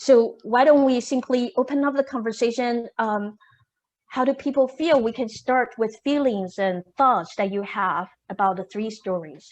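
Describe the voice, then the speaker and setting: Speaking with a slight Taiwanese accent, a woman uses a high pitch with ordinary pitch variation. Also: moderate pace. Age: 50s. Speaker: keynote speaker and discussion facilitator. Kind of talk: moderating a discussion. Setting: video call.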